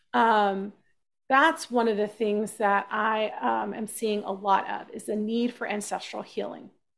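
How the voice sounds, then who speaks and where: In an American accent, a woman with a plain, everyday voice speaks at a fairly slow pace, her fairly high pitch held to fairly even intonation. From US South, Texas (South Austin). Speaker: shamanic practitioner. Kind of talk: interview.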